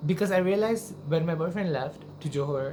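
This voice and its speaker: A woman with a very deep, low pitch at a moderate pace, amid audible room echo and noticeable background noise. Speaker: singer and YouTuber. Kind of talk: casual vlog talk to camera. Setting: at home in own room. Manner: animated.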